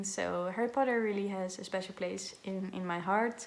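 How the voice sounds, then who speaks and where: At a moderate pace, a woman with a slight Dutch accent speaks in a medium pitch with fairly even intonation. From Netherlands. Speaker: book vlogger. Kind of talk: casual vlog talk to camera. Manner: halting, many filler sounds.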